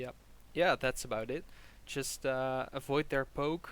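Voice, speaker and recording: The recording is very clean, with a silent background. A man with a Flemish accent speaks at medium pitch with fairly even intonation. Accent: Belgian Dutch (Flemish) accent in English. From Belgium. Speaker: game coach. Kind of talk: coaching session, casual chat.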